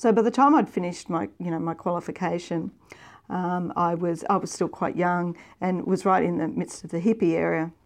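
Against a quiet background, a woman with an Australian accent talks at a fairly quick pace in a fairly low voice. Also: ordinary pitch variation. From Victoria, Australia. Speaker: international development executive. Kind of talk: interview storytelling. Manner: halting, many fillers.

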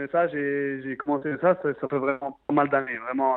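A man's voice with fairly even intonation. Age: 30s. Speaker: professional footballer. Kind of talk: interview. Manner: halting.

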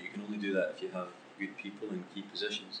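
A man talks at a very fast pace. He has a Scottish accent. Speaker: football club executive. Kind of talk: interview. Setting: on location.

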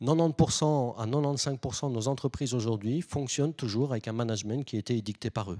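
Speaking with hardly any pauses, a man has a medium pitch, ordinary pitch variation, and a dark, mellow tone. The sound is dry and close with no echo, on a very clean recording with a silent background. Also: moderate pace. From Belgium. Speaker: management consultant and lecturer. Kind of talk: public lecture. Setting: stage with audience.

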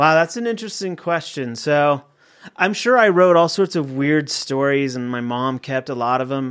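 On a very clean recording with a silent background, a man with a General American accent uses a normal speaking voice, fairly high in pitch, with lively intonation at a moderate pace. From Colorado, suburb of Denver. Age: 40s. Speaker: TV writer and producer. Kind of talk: casual interview chat. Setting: studio.

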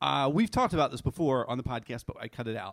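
On a very clean recording with a silent background, a man speaks in an ordinary speaking voice with an American accent. His pitch is fairly high and his intonation lively. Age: 40s. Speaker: storyteller. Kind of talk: live storytelling. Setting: stage with audience.

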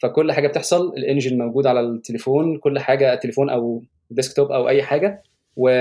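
A man talks at a very fast pace in a fairly high pitch, his tone dark and mellow, with ordinary pitch variation. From Egypt. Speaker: software engineer. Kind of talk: casual interview.

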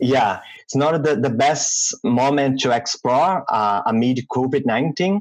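A man with a Portuguese accent speaks at a fairly slow pace. His loudness stays very even, and his pitch varies in an ordinary way. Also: medium pitch for a man. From Brazil. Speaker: UX designer. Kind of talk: interview. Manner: halting.

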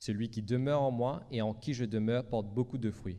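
In a dark, mellow tone, a man speaks at a fairly slow pace and medium pitch with ordinary pitch variation. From Mauritius. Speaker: preacher. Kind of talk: sermon. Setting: church.

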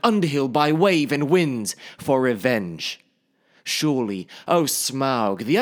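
Over a quiet background, the words are read aloud plainly with lively intonation.

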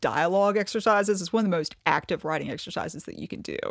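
A woman with a Kentucky accent talks at a very fast pace with ordinary pitch variation and vocal fry, the sound dry and close with no echo on a very clean recording with a silent background. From eastern Kentucky, Appalachia. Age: 30s. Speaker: novelist. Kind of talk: interview conversation.

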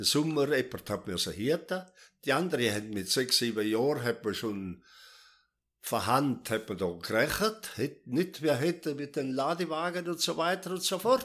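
A man's fairly high voice with vocal fry and very wide pitch swings, at a moderate pace, on a very clean recording with a silent background. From South Tyrol. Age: 80s+. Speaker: retired farmer. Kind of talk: life story interview.

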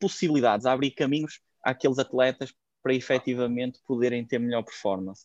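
Someone with a European Portuguese accent speaks at a fairly quick pace with ordinary pitch variation, in a dry, close sound with no echo against a quiet background. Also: man. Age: 20s. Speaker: fitness coach. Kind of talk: interview.

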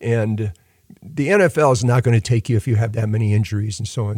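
A man at a medium pitch and moderate pace, with a dry, close sound with no echo. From US Midwest (Lorain, Ohio). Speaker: university dean and orphanage founder. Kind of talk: interview. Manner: halting.

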